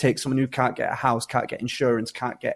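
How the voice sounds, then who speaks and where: In a Yorkshire accent, a man talks at a medium pitch. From Yorkshire, England. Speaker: social entrepreneur, former prisoner. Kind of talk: podcast interview. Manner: hesitant, many repetitions and fillers.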